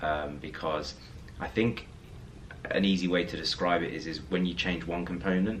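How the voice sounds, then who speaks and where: A man's very deep, low voice at a moderate pace with ordinary pitch variation, audible room echo and noticeable background noise. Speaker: lifestyle vlogger. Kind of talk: casual vlog talk to camera. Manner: hesitant with fillers.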